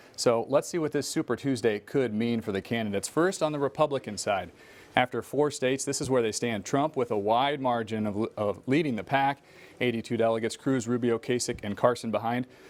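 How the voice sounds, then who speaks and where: A man with an ordinary speaking voice talks at a fairly quick pace, medium in pitch, with ordinary pitch variation. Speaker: news anchor. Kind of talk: TV news report.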